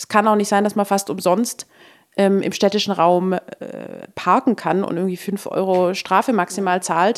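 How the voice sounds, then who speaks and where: A woman talks at a medium pitch. Her pace is moderate. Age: 30s. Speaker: mobility researcher. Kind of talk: interview. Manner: animated.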